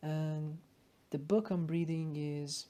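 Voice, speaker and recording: A woman with a very deep, low pitch and a dark, mellow tone speaks at a very slow pace. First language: not English. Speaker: ESL student sharing study notes. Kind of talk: study talk with reading aloud. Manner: casual, some hesitations.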